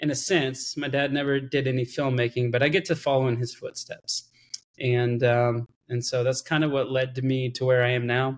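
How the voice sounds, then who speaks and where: In an American accent, a man speaks at a moderate pace and medium pitch with a monotone, flat intonation. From Texas, Austin. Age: 30s. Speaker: filmmaker. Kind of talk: casual chat.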